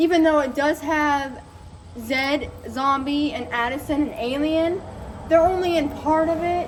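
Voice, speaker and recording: A woman speaks loudly at a fairly slow pace, her high pitch held in fairly even intonation. Audible room echo and noticeable background noise surround her voice. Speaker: youtuber reviewing soundtracks. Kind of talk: casual monologue.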